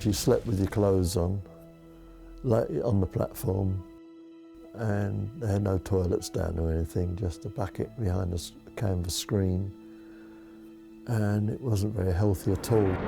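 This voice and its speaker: A man speaks slowly-ish, at a fairly slow pace, in a fairly low pitch with an East London accent and ordinary pitch variation. There are long, frequent pauses, with music in the background. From East End of London. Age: 80s+. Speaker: war survivor. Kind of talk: interview answer.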